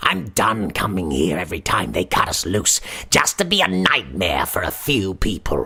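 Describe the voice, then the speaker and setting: At a moderate pace, a man puts on a character voice pitched very deep and low. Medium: read story. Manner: showy, jovial, mocking.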